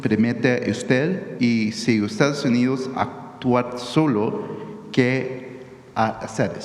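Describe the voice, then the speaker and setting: A man speaking very slowly with lively intonation and very even loudness, amid audible room echo and noticeable background noise. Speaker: journalist. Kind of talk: press conference question. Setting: press conference room. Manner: halting.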